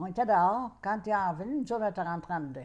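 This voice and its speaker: A woman with a Quebec accent talks with lively intonation on a very clean recording with a silent background. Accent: rural Quebec French. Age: 80s+. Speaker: grandmother. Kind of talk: interview answer, life story.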